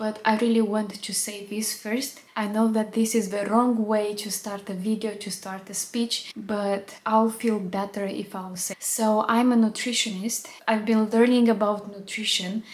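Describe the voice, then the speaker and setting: A woman with a non-native accent speaks at a fairly high pitch and a fairly slow pace. Her intonation is monotone and flat, with hardly any pauses. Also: big swings in loudness. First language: not English. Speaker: nutritionist. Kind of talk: educational video monologue.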